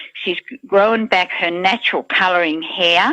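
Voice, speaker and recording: This woman has an ordinary speaking voice, medium in pitch, with ordinary pitch variation and a fairly slow pace. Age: 60s. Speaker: product testimonial giver. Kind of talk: testimony. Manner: casual, with fillers.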